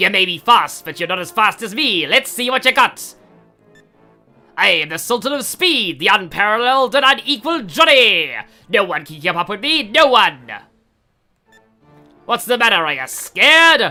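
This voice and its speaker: A female-sounding, put-on character voice with fairly high pitch moves at a moderate pace, broken by long, frequent pauses, with faint music in the background. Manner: boastful, taunting.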